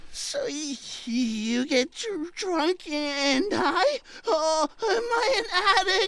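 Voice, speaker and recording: Over light background noise, a man does a put-on character voice at an extremely high pitch and a very slow pace. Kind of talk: audio drama character dialogue. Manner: hesitant, stammering.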